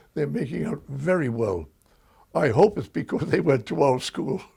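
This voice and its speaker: With an American accent, this man talks at a moderate pace in a fairly high, dark and mellow voice with vocal fry and very wide pitch swings. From Bronx, New York. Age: 80s+. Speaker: school board member, World War II veteran. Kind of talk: interview answer.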